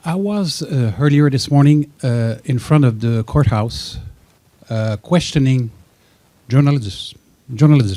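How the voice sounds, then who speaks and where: With a French accent, a man at medium pitch speaks in a dark, mellow tone with lively intonation, moving at a fairly slow pace through long, frequent pauses. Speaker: audience member. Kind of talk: audience question. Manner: halting.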